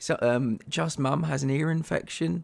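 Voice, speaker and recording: A man's fairly high voice with an English accent, lively intonation and a fairly slow pace. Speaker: gaming streamer. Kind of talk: casual live-stream chat. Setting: live stream.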